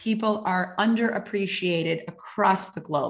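Speaking at a fairly slow pace and a medium pitch, a woman shows ordinary pitch variation over noticeable background noise. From Canada (Calgary, Alberta). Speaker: author and happiness coach. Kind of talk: interview.

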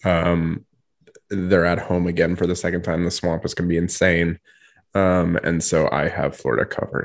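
A man speaks with a very deep, low pitch. His delivery is flat and monotone at a moderate pace. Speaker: podcast co-host.

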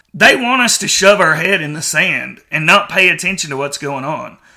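A man projects a raised voice with a bright, sharp tone at a moderate pace. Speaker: podcast host. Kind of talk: opinion monologue. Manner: loud.

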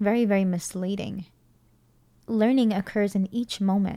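A woman speaks with a dark, mellow tone and fairly even intonation in a very clean recording with a silent background. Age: 30s. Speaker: podcast host and children's educator. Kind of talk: solo podcast monologue. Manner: hesitant with frequent fillers.

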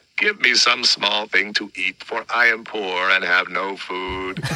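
This man uses a put-on character voice that sounds raspy. He talks at a fairly slow pace and a fairly low pitch. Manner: pleading.

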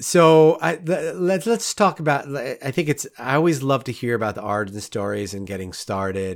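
A man speaks with an American accent at a moderate pace, his pitch fairly high and swinging very widely. The recording is very clean, with a silent background. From New York, Rockland County. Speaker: podcast host, photographer. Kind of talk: casual interview.

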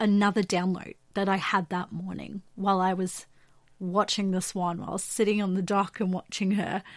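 In a very clean recording with a silent background, a woman with an Australian accent talks at a moderate pace in a medium pitch. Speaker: podcast host. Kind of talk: solo monologue about spiritual topics.

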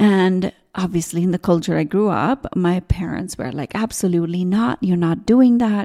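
Recorded very cleanly with a silent background and a dry, close sound with no echo, a woman speaks at a moderate pace in a medium pitch, her tone dark and mellow with ordinary pitch variation. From India. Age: 40s. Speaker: spiritual business coach. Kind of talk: solo podcast monologue. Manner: animated.

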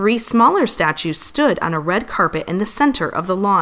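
Here someone does plain reading aloud.

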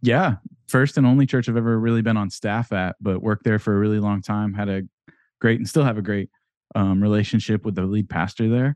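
A man with an American accent and a normal speaking voice, fairly low in pitch, at a fairly quick pace with fairly even intonation against a quiet background. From rural Ohio, later Florida. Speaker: church tech consultant. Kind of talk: interview. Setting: video call.

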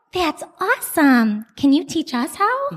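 This is a put-on character voice, high-pitched and squeaky. It moves at a fairly slow pace with very wide pitch swings. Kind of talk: bedtime story. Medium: read story. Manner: warm, caring.

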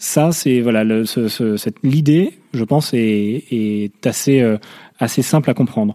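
A man's dark, mellow tone at a very slow pace, with ordinary pitch variation, in a very clean recording with a silent background and a dry, close sound with no echo. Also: medium pitch for a man. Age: 30s. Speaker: environmental NGO finance manager. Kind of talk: interview. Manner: halting, many repeated words and fillers.

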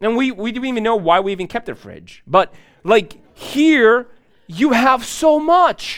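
At a fairly slow pace, a man talks in an extremely high pitch. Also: lively intonation, big swings in loudness. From grew up in a third world country, immigrated. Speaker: pastor. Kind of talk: sermon. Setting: church.

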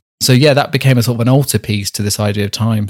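A man with a Staffordshire accent. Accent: English Midlands (Staffordshire). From Staffordshire, England (Rugeley). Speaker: artist and embroiderer. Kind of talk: interview. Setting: video call.

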